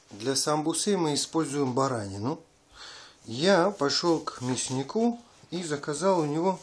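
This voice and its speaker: A man at a fairly slow pace. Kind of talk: tutorial. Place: kitchen.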